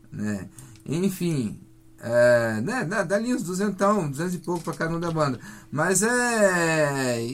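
Music plays in the background as the voice swings very widely in pitch. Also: man. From Paraná, Brazil (near Londrina, Faxinal). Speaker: psychobilly musician. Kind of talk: radio interview. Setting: radio studio.

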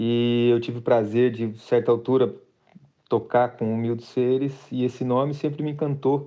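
This man's voice sits at a medium pitch, with fairly even intonation. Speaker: artist. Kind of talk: interview. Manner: halting.

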